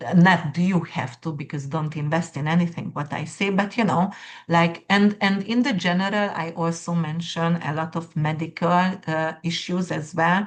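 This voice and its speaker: Speaking at a moderate pace, a woman has a fairly low pitch and a non-native accent. Her voice is somewhat breathy, with fairly even intonation. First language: not English. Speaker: astrologer. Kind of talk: casual monologue to viewers. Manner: halting, many fillers.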